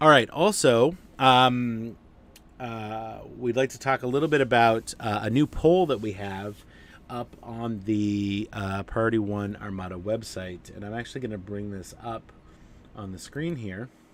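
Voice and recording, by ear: Speaking at a fairly slow pace, a man uses a nasal, fairly low-pitched voice with ordinary pitch variation.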